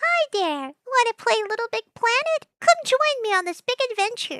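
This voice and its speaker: In a put-on character voice, a woman speaks softly with a squeaky, extremely high pitch. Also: moderate pace. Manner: friendly, inviting.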